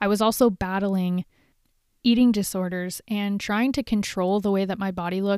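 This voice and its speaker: With an American accent, a woman speaks at a medium pitch and a moderate pace, recorded very cleanly against a silent background with a dry, close sound and no echo. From Southern California, Huntington Beach. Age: 30s. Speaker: podcast host. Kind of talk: casual solo monologue.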